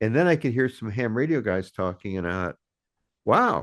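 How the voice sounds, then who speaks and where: Here a man with an American accent talks at medium pitch with very wide pitch swings. The background is quiet. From US West, Burbank, California. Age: 70s. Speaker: ham radio YouTuber. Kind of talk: interview conversation. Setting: video call.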